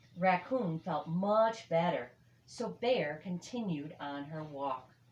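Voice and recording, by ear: A woman speaks slowly with a fairly low pitch and big pitch swings. Room echo is audible.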